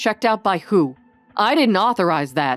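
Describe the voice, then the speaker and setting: Growling in a put-on character voice at a middle pitch, the speaker keeps a moderate pace as music plays in the background. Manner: angry, indignant.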